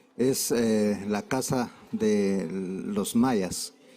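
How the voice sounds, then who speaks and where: A man speaks with very wide swings in pitch. His tone is dark and mellow. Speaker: government representative. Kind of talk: conference speech.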